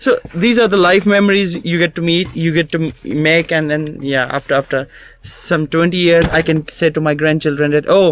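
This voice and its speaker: A man with a Pakistani accent and a high voice, with hardly any pauses and very even loudness. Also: ordinary pitch variation, moderate pace. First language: Urdu. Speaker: mountaineer. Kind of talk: casual chat. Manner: halting, many repetitions.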